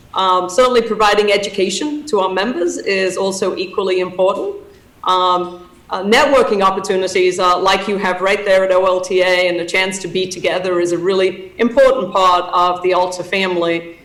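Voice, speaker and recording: A woman speaks at a fairly quick pace with fairly even intonation. Audible room echo surrounds her voice. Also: medium pitch for a woman. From England. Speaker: association president and CEO. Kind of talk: conference talk. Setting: video call. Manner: hesitant with many fillers.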